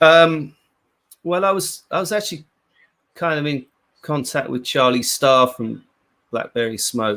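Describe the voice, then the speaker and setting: With a British accent, a man speaks at a fairly slow pace in a bright, sharp tone, his fairly high pitch carrying lively intonation between long, frequent pauses. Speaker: rock guitarist. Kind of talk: casual interview. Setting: live stream.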